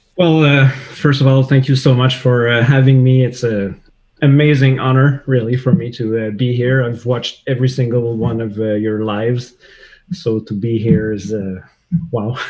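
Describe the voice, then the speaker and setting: A man's somewhat breathy voice with a slight French Canadian accent, medium in pitch, at a moderate pace with fairly even intonation. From Quebec, Canada. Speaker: CAD software user, web developer. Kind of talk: livestream interview. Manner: halting, many fillers.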